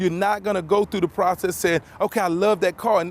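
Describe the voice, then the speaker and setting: With an American accent, a man speaks very fast in a high, energetic, enthusiastic tone. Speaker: car salesman. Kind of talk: local TV infomercial pitch.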